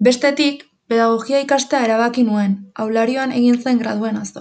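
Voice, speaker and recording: The woman's pitch is fairly high, and her delivery is somewhat breathy. Her intonation stays fairly even. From Basque Country, Urretxu (Gipuzkoa). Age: young. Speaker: university student. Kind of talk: scripted narration.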